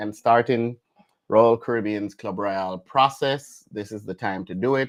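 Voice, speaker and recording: Over a quiet background, this voice speaks with a Jamaican accent and ordinary pitch variation. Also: man. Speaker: travel vlogger. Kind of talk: live stream chat.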